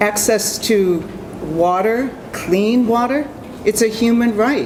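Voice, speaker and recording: A woman speaks with a Boston accent and ordinary pitch variation. Noticeable background noise is present. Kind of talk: convention speech.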